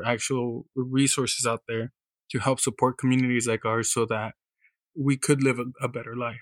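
Recorded very cleanly with a silent background and a dry, close sound free of echo, a man with an American accent speaks at medium pitch and a moderate pace in a flat monotone. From Kern County, California. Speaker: community organizer. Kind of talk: interview.

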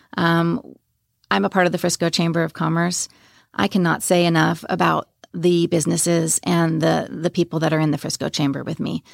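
A woman with an American accent speaks in an ordinary speaking voice, fairly low in pitch, at a fairly quick pace with ordinary pitch variation. The recording is very clean, with a silent background and a dry, close sound with no echo. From New York, Long Island. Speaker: nonprofit founder. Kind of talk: interview.

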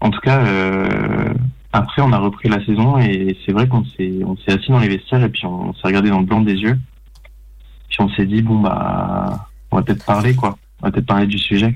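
Moderate pace, ordinary pitch variation and long, frequent pauses. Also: man, fairly low pitch for a man. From Paris suburbs, France. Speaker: short film director. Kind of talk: radio interview.

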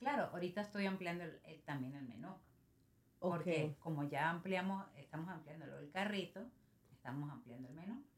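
A woman speaks at a fairly low pitch with lively intonation and a somewhat breathy sound. Her pace is moderate and her loudness swings widely. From Venezuela, San Cristóbal (Táchira). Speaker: small business owner. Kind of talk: casual interview.

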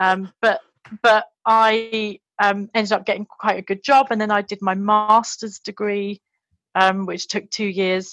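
A woman with a London accent speaks at a medium pitch and a fairly slow pace. Her intonation is monotone and flat, and the sound is dry and close with no echo. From London, England. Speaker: former English teacher in Japan. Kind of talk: casual interview.

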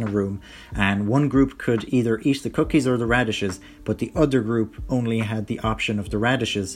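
A man speaks with an Irish accent. His pitch sits in the middle range. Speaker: podcast host. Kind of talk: casual solo commentary. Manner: relaxed, many fillers.

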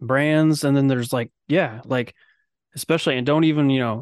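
A man's plain, everyday voice, medium in pitch with ordinary pitch variation, against a quiet background. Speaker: podcast host. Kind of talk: casual chat. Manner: joking, sarcastic.

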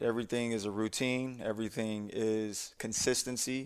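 A man with medium pitch and an ordinary speaking voice, fairly even intonation, on a very clean recording with a silent background. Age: 30s. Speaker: sport performance coach. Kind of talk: casual chat.

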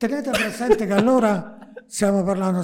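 A man keeps a fairly quick pace and ordinary pitch variation while noticeable background noise runs behind him. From Naples, Italy. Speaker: music composer and TV writer. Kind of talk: casual interview.

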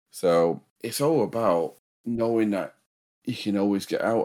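This man has a medium pitch and a dark, mellow tone. His intonation is lively. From northern England. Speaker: true crime podcaster. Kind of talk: casual chat and true crime storytelling. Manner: mumbles.

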